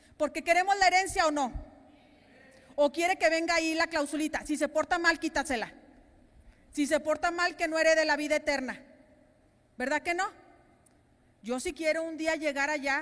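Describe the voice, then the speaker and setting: An animated woman speaks at an extremely high pitch and a moderate pace. She leaves long, frequent pauses. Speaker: pastor. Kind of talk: sermon.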